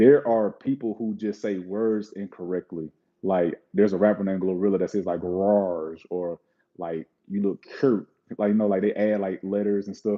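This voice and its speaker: Here a man talks with a Southern US accent. His pitch is fairly low. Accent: Southern drawl. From Mississippi, US South. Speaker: streamer opening trading card packs. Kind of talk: live stream chat. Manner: casual, fast-paced.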